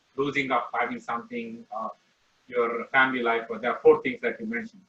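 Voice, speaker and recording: With an Indian accent, a man talks at a fairly quick pace. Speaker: class participant. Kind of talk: Q&A question. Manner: hesitant, repeating words.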